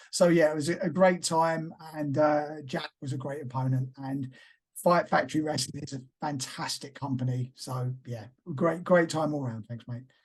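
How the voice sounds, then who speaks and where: Here a man speaks with a somewhat breathy, fairly high-pitched voice. His intonation stays fairly even at a moderate pace. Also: big swings in loudness. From East London, England. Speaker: professional wrestler and actor. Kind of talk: casual interview.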